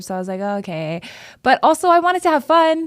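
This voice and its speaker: A woman with a Hawaiian accent, very fast and animated, with very wide pitch swings on a very clean recording with a silent background. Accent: Hawaiian American English. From Hawaii (Oahu). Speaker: city council member. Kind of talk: casual chat. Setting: studio.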